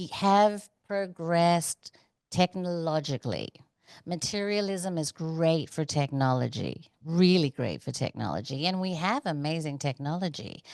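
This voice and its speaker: A woman speaks at a fairly slow pace in a plain, everyday voice, her pitch fairly low. The sound is dry and close with no echo, over a quiet background. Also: ordinary pitch variation. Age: 50s. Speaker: documentary producer. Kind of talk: casual interview chat.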